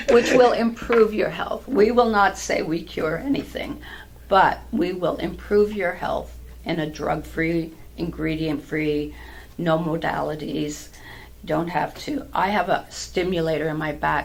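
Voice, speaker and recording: A woman talks fairly slowly, with audible room echo around her voice. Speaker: patch seller, health product distributor. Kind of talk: interview chat. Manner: animated.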